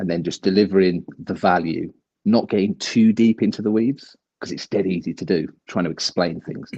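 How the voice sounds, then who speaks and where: With an English accent, a man speaks at a very deep, low pitch in a dark, mellow tone with fairly even intonation and a dry, close sound with no echo. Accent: broad English. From English Midlands. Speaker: crypto video creator. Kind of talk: casual chat. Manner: fast.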